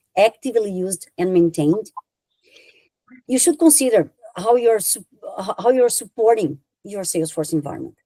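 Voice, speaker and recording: The speaker talks at a moderate pace with a Brazilian accent. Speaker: software consultant. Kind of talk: conference talk. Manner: halting.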